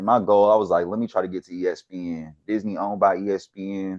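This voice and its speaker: A man with a slight Houston accent at a fairly quick pace, over a quiet background. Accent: slight Houston Texas. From Texas, Houston. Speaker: sports researcher. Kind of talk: casual chat.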